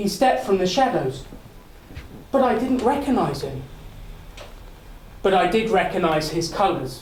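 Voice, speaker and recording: Against noticeable background noise, a man with a high pitch and very wide pitch swings talks at a moderate pace with long, frequent pauses. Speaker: public speaker. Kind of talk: contest speech, dramatic storytelling. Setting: live audience, speakers club. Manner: energetic, charismatic.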